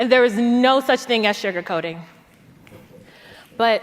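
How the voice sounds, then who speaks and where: A high-pitched woman at a moderate pace, ordinary pitch variation, with noticeable background noise. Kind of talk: spoken word poetry performance.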